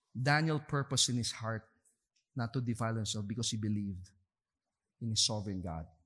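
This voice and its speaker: A man's medium-pitched voice at a fairly quick pace, with ordinary pitch variation and long, frequent pauses. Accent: Filipino. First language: Tagalog. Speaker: pastor. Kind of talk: sermon. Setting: church service, streamed online.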